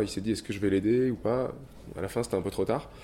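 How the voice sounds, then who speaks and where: A man's dark, mellow voice at a medium pitch. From southern France. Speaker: start-up co-founder. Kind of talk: interview. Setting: office. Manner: hesitant.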